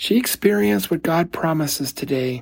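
A man speaks at a fairly high pitch with vocal fry. His tone is slightly mellow, with a slightly husky edge.

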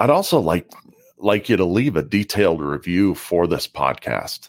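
With a very deep, low pitch, a man shows very wide pitch swings and vocal fry at a moderate pace, in a very clean recording with a silent background and a dry, close sound with no echo. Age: 40s. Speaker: leadership podcast host. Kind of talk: solo podcast monologue.

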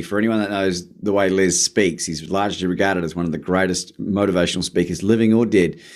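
With an Australian accent, a man talks in an animated tone at a fairly low pitch. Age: 40s. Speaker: motivational speaker and podcast host. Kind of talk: interview. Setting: remote call.

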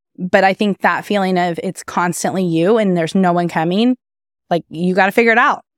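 A woman with a US Midwestern accent at a medium pitch, with ordinary pitch variation, in a dry, close sound with no echo on a very clean recording with a silent background. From Kansas, US Midwest. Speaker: event planner and entrepreneur. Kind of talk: interview.

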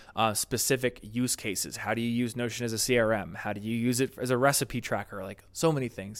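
A man speaks at medium pitch in an unremarkable speaking voice. His pace is fairly quick and his intonation fairly even. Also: very clean recording, silent background. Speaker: YouTube creator and entrepreneur. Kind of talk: interview conversation. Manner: casual, with many fillers.

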